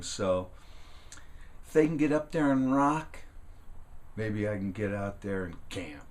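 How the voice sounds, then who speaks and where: A man speaks with an American accent. There is audible room echo. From California, US. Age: 60s. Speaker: woodworking and outdoors YouTuber. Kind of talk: casual vlog monologue. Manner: halting, many fillers and restarts.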